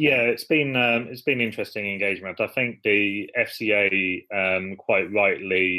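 A man speaks at a fairly slow pace with an English accent. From England. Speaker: startup CEO, banker. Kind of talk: interview.

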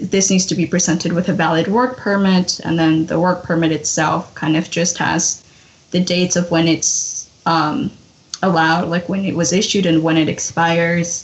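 Noticeable background noise sits under the recording. A woman speaks with monotone, flat intonation. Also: fairly low pitch for a woman, moderate pace. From Mexico, Hidalgo; raised in US from age six. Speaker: DACA recipient, podcast guest. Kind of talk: casual chat.

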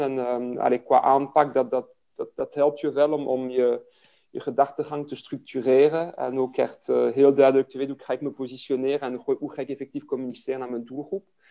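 With a French accent, a man talks at a moderate pace in a medium-pitched, dark, mellow voice, his intonation flat and monotone while his loudness swings widely. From Belgium, Liège (French-speaking Wallonia). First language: French (speaking Dutch). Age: 40s. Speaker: fitness business owner. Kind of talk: interview. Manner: hesitant, many fillers and repetitions.

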